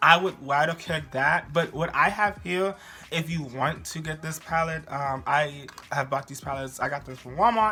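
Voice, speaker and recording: Over music in the background, a speaker with an American accent talks at a moderate pace in an animated tone with ordinary pitch variation. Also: man. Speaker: beauty youtuber, drag performer. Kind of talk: makeup tutorial. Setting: at home. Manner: loud and animated.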